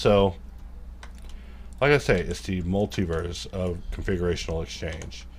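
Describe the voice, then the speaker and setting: With vocal fry and lively intonation, a man speaks at a very deep, low pitch in a room with audible echo. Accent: American. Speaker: 3D modelling tutor. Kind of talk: live modelling tutorial, casual. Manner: casual, rambling asides.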